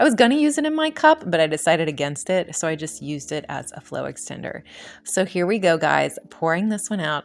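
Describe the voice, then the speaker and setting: A woman mumbles at a fairly quick pace. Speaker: acrylic pour painter. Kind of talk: tutorial. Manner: mumbling; casual, hesitant.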